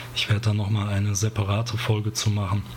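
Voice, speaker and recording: A man talks at a very fast pace with a medium pitch. Noticeable background noise runs underneath. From Ruhr area, Germany. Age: 30s. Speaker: podcast host and graphic designer. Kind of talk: solo podcast monologue. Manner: casual, with frequent fillers.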